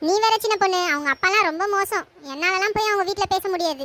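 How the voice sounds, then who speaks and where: A woman uses a cartoonish character voice at an extremely high pitch and a moderate pace. The loudness stays very even, and the sound is dry and close with no echo. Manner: chatty, complaining.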